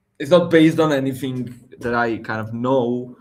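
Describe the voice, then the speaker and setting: This man has a medium pitch and speaks with an Armenian accent. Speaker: tech livestream host. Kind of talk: casual tech chat. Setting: livestream.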